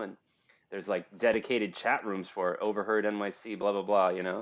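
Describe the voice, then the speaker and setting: Talking at a very fast pace, a man with a New York accent uses a fairly low pitch. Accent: American, New York. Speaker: podcast host. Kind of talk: casual chat. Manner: loud.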